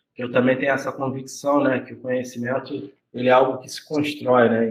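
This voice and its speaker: A man talks at a fairly quick clip in a medium pitch. His intonation stays monotone and flat. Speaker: university professor. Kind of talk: lecture in informal dialogue with students.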